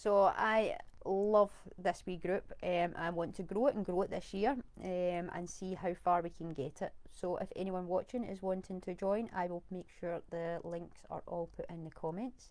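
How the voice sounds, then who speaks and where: Medium in pitch, the woman's voice has fairly even intonation. She keeps a moderate pace. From Scotland. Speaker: virtual assistant. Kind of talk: live video talk. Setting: live stream on camera.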